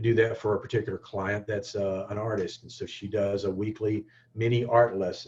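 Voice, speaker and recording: In a Southern US accent, a man talks at a fairly quick pace with a fairly low, somewhat breathy voice. His intonation is monotone and flat, while his loudness swings widely. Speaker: digital marketing instructor. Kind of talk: webinar tutorial. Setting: online webinar. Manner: halting, many fillers and restarts.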